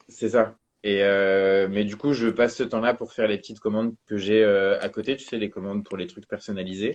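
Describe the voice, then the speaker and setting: At a moderate pace, a man with a plain, everyday voice and fairly low pitch speaks with fairly even intonation and big swings in loudness. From northern France. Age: 20s. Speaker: calligrapher. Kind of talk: casual chat. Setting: live stream interview.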